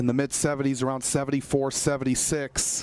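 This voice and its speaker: A man with an ordinary speaking voice at a fairly high pitch. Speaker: baseball color commentator. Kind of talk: baseball color commentary.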